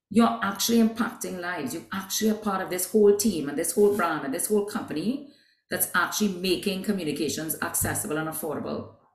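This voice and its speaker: A woman at medium pitch talks at a very fast pace with hardly any pauses. Her intonation is lively, and there is audible room echo. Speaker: business executive. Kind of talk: interview.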